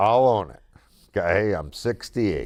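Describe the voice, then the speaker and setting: Lively intonation carries a very slow pace in a very clean recording with a silent background. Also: man. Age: 60s. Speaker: podcast host. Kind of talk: casual chat.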